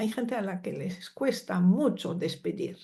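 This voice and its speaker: A woman speaks at a medium pitch with lively intonation. Her tone is dark, mellow and somewhat breathy. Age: 70s. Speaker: psychologist and family constellations teacher. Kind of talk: interview.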